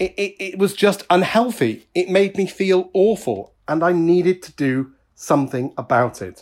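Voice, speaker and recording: Speaking fairly slowly with a British accent, a man has a high pitch and ordinary pitch variation. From UK. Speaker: podcaster. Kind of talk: personal monologue. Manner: occasionally halting.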